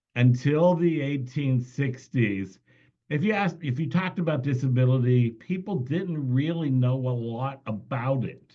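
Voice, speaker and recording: With a medium pitch and a somewhat breathy voice, a man speaks at a fairly slow pace with ordinary pitch variation. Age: 60s. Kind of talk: training presentation.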